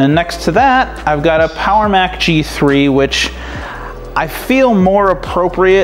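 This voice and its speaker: Faint music sits in the background as a man speaks at a fairly slow pace. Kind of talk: casual tour narration. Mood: enthusiastic. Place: home room. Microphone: phone near.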